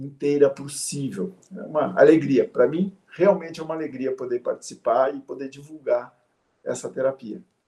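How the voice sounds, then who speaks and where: Moving at a moderate pace, a man's voice shows big swings in loudness. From Brazil, São Paulo. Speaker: systemic therapist. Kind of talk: interview.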